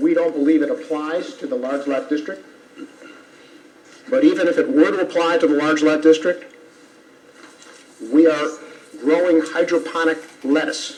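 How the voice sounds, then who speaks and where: This man's voice is fairly high, with lively intonation and a moderate pace. Long, frequent pauses break up his speech over noticeable background noise. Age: 70s. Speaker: attorney for applicant. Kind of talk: legal argument at public hearing. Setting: town board meeting room. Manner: formal.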